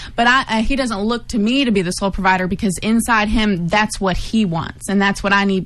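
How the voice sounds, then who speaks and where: Over noticeable background noise, the voice goes at a fairly quick pace. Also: woman. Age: 20s. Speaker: board operator. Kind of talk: casual discussion. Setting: studio.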